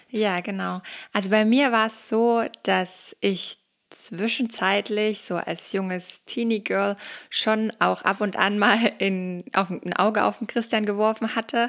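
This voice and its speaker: A woman speaks at a very slow pace with fairly even intonation in a very clean recording with a silent background. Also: medium pitch for a woman. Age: 20s. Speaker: social worker, mother. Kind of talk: interview, personal testimony.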